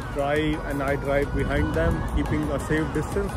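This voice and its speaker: A man talks at a moderate pace in a dry sound with no echo while loud music plays in the background. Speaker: road trip vlogger. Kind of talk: casual vlog chat. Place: street. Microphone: phone near.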